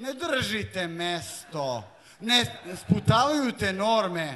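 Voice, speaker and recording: A man is speaking. His pitch swings very widely. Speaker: slam poet. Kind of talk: live poetry slam performance.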